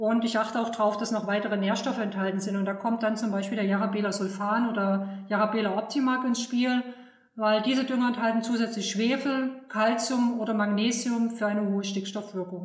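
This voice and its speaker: Amid audible room echo and noticeable background noise, a woman with a fairly high pitch talks at a fairly quick pace in a monotone, flat intonation at very even loudness. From Saxony, eastern Germany. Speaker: agricultural fertilizer advisor. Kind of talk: expert interview.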